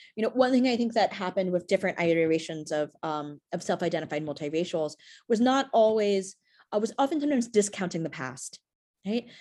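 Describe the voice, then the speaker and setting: A woman's medium-pitched, dark, mellow voice with an American accent, very wide pitch swings and a very fast pace, over a quiet background. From US Northeast (Brooklyn, New York). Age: 40s. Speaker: professor. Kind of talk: interview. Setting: podcast interview. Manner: many fillers (um, right, you know).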